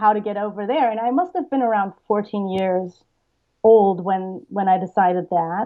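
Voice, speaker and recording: A woman with a German accent, medium pitch, ordinary pitch variation and a moderate pace. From Bavarian-Austrian border, Germany. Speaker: TV writer. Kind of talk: interview.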